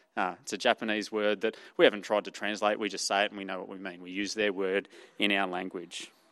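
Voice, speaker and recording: Over a quiet background, a man with an Australian accent speaks at a very fast pace in a monotone, flat delivery with big swings in loudness. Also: fairly low pitch for a man. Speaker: preacher. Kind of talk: sermon. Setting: church.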